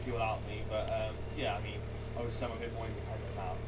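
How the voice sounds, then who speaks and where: The voice belongs to a man. There is audible room echo in the recording. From England, Herefordshire (Ross-on-Wye). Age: 20s. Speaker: professional golfer. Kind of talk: interview. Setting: outdoors at golf club.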